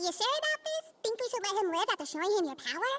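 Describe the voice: A squeaky, cartoonish character voice at an extremely high pitch, with very wide pitch swings and a very fast pace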